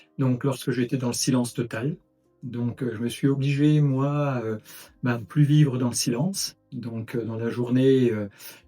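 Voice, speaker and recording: His intonation is fairly even. The man speaks at a fairly slow pace. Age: 60s. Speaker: retired engineer, patient with pulsatile tinnitus. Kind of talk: testimony. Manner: halting, many hesitations.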